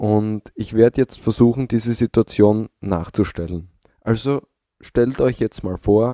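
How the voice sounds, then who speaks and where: A fairly low-pitched man's voice, dark and mellow, at a very slow pace with fairly even intonation, dry and close with no echo against a quiet background. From Austria, Styria. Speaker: podcaster. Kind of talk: recorded audio comment.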